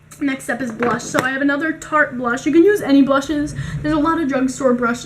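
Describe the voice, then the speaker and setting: A woman with a high pitch and ordinary pitch variation, against noticeable background noise. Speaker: beauty youtuber. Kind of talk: tutorial. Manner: casual; soft-spoken.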